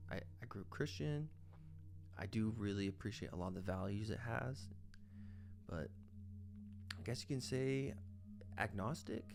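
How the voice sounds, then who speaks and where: Music plays in the background as a man speaks in a relaxed tone at a fairly low pitch. He leaves long, frequent pauses. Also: ordinary pitch variation, moderate pace. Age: 20s. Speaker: artist. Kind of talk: casual commentary while drawing. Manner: relaxed, informal.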